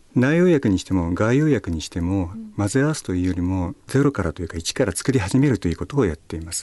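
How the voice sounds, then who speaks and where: A man with a dark, mellow tone and fairly low pitch talks at a very fast pace, his pitch swinging very widely. The background is quiet. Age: 50s. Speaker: pharmacist and karate competitor. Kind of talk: radio interview. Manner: polite.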